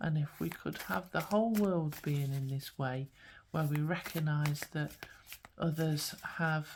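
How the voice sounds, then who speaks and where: A woman speaks at a fairly slow pace in a very deep, low, somewhat breathy voice. Her pitch varies in an ordinary way. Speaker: spiritual guidance coach and tarot card reader. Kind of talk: pick-a-card tarot reading to camera. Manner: gentle, warm, soothing.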